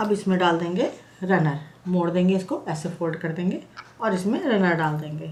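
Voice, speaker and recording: In a room with audible echo, a woman with a fairly low pitch talks at a fairly slow pace with ordinary pitch variation. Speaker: craft tutorial creator. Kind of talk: tutorial. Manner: conversational, explanatory.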